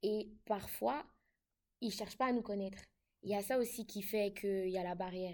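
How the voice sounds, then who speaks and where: A woman with a slight Ivorian accent talks at a moderate pace and medium pitch, with fairly even intonation and long, frequent pauses. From Ivory Coast. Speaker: international student. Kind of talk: casual chat.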